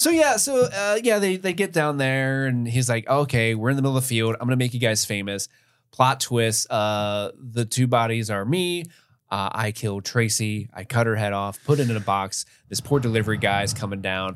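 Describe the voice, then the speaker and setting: A man with an unremarkable speaking voice, medium pitch and lively intonation, at a moderate pace, on a very clean recording with a silent background. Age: 30s. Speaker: podcast co-host. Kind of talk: casual chat.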